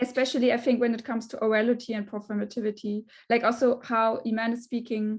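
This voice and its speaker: A woman speaks with a non-native accent in a fairly high pitch. Her intonation is monotone and flat against a quiet background. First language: not English. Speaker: researcher. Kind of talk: panel discussion. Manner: halting.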